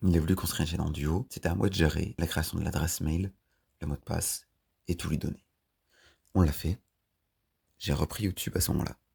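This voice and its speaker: His voice very deep and low, a man speaks in a dark, mellow tone that is somewhat breathy. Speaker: YouTuber. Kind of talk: personal vlog storytelling. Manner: monotone; hesitant.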